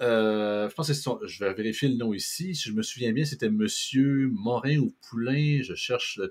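Recorded very cleanly against a silent background, a man with a Quebec accent speaks with lively intonation. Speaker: podcast host. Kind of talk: casual political talk show.

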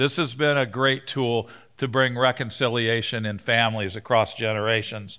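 Heard on a very clean recording with a silent background, a man with a bright, sharp tone and medium pitch speaks at a moderate pace with fairly even intonation. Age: 60s. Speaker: pastor. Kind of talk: sermon. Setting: stage with audience.

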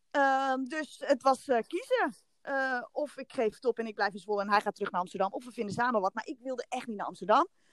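Speaking very fast, a woman with a high pitch and ordinary pitch variation sounds dry and close with no echo. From Netherlands, Haarlem. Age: 30s. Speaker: podcast guest. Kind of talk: casual chat.

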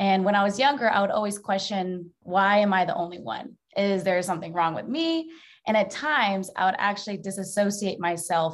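A woman with an unremarkable speaking voice talks at a fairly quick pace and medium pitch. The recording is very clean, with a silent background. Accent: American. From Mesa, Arizona. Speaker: sport and social justice advocate. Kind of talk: panel discussion.

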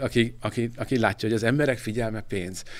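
A man's medium-pitched voice at a fairly quick pace, with ordinary pitch variation. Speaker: gaming magazine editor-in-chief. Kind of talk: casual chat. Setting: studio. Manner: halting.

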